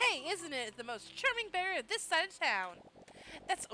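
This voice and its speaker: A woman uses a put-on character voice at an extremely high pitch, with very wide pitch swings. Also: moderate pace. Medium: game stream.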